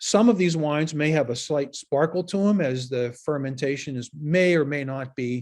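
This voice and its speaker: Against a quiet background, a man with a Pittsburgh accent speaks at a fairly high pitch and a moderate pace. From Western Pennsylvania. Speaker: wine educator. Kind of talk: lecture.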